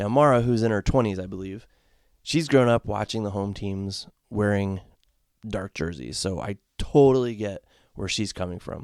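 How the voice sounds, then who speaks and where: A man with an American accent and a fairly low pitch, at a moderate pace with ordinary pitch variation, in a very clean, dry, close recording with no echo and a silent background. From Connecticut, US. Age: 40s. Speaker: podcast host, sports fan. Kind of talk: solo podcast commentary. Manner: casual, halting with repetitions.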